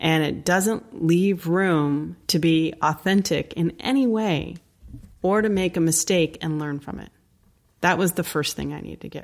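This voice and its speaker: In an ordinary speaking voice, a woman with an American accent talks at a fairly slow pace, her fairly low pitch showing ordinary variation. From US Northeast, Connecticut. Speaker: anti-racism educator. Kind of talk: interview. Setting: video call.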